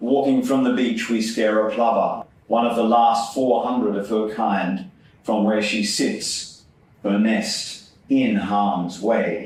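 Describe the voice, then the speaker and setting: With an Australian accent, a man talks at a very slow pace and medium pitch, with ordinary pitch variation and very even loudness. Noticeable background noise and audible room echo come through. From Sydney, Australia (Epping). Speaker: poet. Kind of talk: poetry reading. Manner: measured, deliberate.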